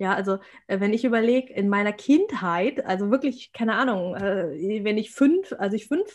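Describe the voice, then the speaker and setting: Over a quiet background, a woman speaks at a moderate pace in a plain, everyday voice, fairly high in pitch with lively intonation. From Germany, rural village. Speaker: abuse recovery coach and podcaster. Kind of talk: casual interview.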